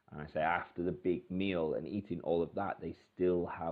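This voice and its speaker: A man with a very deep, low pitch, fairly even intonation and a moderate pace. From Britain. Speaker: English teacher. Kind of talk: tutorial. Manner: hesitant, many fillers.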